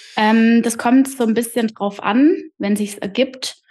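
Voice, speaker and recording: A woman speaks in a normal speaking voice. Her pace is fairly slow and her intonation fairly even. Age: 30s. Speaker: podcaster and trainee coach. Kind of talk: interview.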